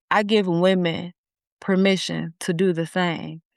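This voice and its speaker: A woman's voice comes through dry and close with no echo, over a quiet background. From US inner city. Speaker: therapist and coach. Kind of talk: interview conversation. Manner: animated.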